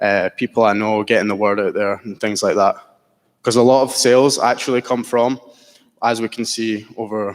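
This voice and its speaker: A man's medium-pitched voice at a moderate pace, monotone and flat in intonation, on a very clean recording with a silent background. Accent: Scottish. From Scotland. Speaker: entrepreneur pitching a startup. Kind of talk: business pitch Q&A.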